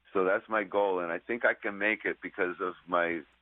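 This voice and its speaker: This man talks with a very deep, low pitch and fairly even intonation. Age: 60s. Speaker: guitarist, Jimi Hendrix tribute performer. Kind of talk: radio interview. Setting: phone call.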